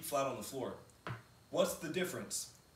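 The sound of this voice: With lively intonation and a fairly bright tone, a man talks in a room with strong echo.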